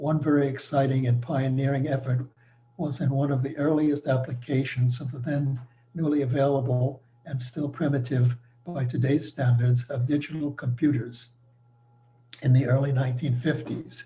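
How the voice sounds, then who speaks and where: Medium-pitched man with an American accent, dark and mellow in tone, somewhat breathy, flat and monotone, at a moderate pace. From New York City. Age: 90s. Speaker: retired engineer. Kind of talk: presentation. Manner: formal.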